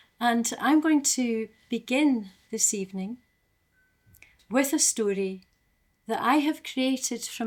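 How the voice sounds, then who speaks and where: A woman speaks with an Aberdeen accent. Her pace is fairly slow. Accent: Aberdeen Scottish. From Scotland, Aberdeen. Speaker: storyteller. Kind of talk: storytelling; event hosting.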